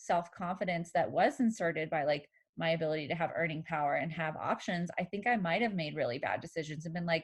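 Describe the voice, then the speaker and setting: A woman with a fairly low pitch and ordinary pitch variation speaks at a moderate pace against a quiet background in an unremarkable speaking voice. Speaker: therapist. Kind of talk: casual chat.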